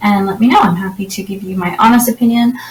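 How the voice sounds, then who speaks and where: Over noticeable background noise, a woman with a Canadian accent speaks at a fairly quick pace and medium pitch with ordinary pitch variation. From Canada. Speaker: website designer and tech reviewer. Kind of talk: software tutorial walkthrough. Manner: fast; casual, with frequent fillers.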